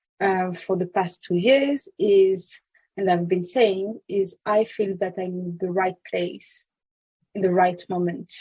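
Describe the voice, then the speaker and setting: A woman with a French accent speaks at a fairly slow pace, her tone dark, mellow and somewhat breathy. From France. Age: 30s. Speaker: legal tech consultant. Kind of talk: podcast interview. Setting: podcast.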